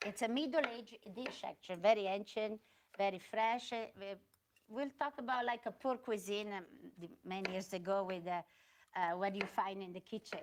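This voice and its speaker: With an Italian accent, a woman speaks at a medium pitch and a moderate pace. Her pitch varies in an ordinary way. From Italy, Milan. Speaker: restaurant owner and chef. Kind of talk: cooking demonstration. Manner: halting.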